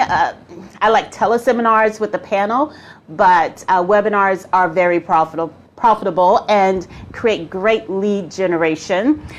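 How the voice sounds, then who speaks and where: With a medium pitch, a woman talks at a fairly slow pace. Her tone is animated and her intonation lively. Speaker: business coach. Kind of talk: live-streamed tutorial. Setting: Facebook live stream.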